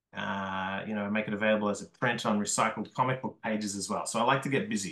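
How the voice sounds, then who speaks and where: A male speaker with an Australian accent. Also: quiet background. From Australia, Melbourne. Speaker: comics artist and small press publisher. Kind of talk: lecture.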